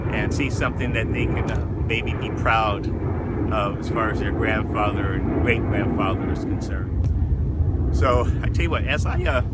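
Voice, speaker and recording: Over noticeable background noise and audible room echo, a man speaks at a moderate pace with a very deep, low pitch and very wide pitch swings. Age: 60s. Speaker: cyclist vlogger. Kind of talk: personal video journal. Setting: outdoors at the beach; in a car. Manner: halting, many fillers.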